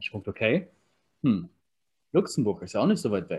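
A man at medium pitch speaks very fast, his intonation lively. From Berlin, Germany. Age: 30s. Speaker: online marketing consultant. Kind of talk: interview.

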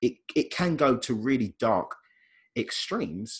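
Against a quiet background, a man speaks at a medium pitch in a somewhat breathy voice, his pitch swinging very widely. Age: 30s. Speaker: life coach and radio host. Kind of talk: casual interview chat.

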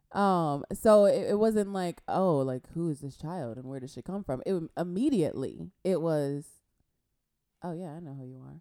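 In an American accent, a woman with an unremarkable speaking voice and fairly low pitch talks at a moderate pace with lively intonation and big swings in loudness. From Compton, California. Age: 30s. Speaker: podcast co-host. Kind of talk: casual chat.

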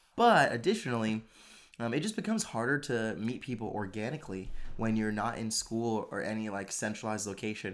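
In a very clean recording with a silent background, a man talks at a medium pitch with fairly even intonation. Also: fairly quick pace. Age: 20s. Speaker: podcast co-host. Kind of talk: casual chat.

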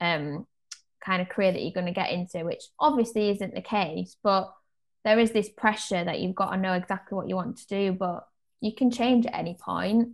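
A woman with a British accent at a moderate pace. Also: quiet background. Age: 20s. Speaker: podcast co-host. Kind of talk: casual chat.

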